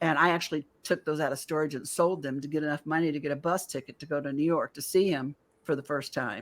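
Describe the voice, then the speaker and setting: A woman with a very deep, low pitch and a bright, sharp tone uses ordinary pitch variation on a very clean recording with a silent background. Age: 60s. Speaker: UAP encounter experiencer. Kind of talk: interview testimony. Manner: halting.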